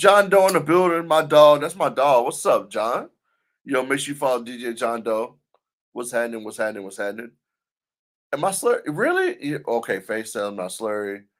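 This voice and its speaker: An American man speaks at a fairly quick pace in a fairly high voice, his pitch swinging very widely and his loudness rising and falling sharply. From US South. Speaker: DJ and livestream host. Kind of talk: casual livestream chat. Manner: animated.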